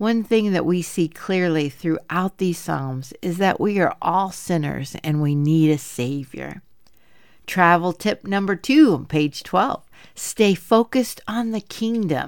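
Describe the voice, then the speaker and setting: A woman's unremarkable speaking voice, fairly low-pitched, with lively intonation and a fairly slow pace. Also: very clean recording, silent background. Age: 50s. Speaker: women's Bible study podcast host. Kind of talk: Bible teaching monologue.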